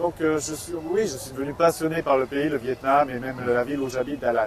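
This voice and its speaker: Noticeable background noise sits behind a man who talks at a fairly quick pace, with a fairly high pitch and ordinary pitch variation. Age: 40s. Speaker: author. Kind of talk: interview. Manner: hesitant, many fillers.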